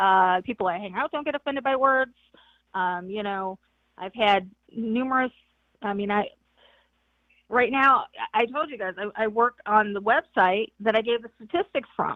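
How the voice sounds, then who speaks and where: Speaking in a western New York accent, a woman uses a fairly high pitch with ordinary pitch variation at a moderate pace. She leaves long, frequent pauses, and her loudness swings widely. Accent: Inland North US (western New York). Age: 50s. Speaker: caller. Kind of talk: heated debate.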